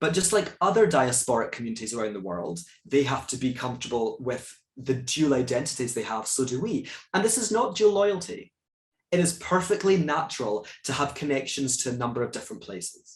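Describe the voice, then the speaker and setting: Somewhat breathy man with a Scottish accent, medium pitch, very wide pitch swings and a fairly quick pace. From Scotland. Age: 30s. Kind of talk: moderated talk Q&A. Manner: animated.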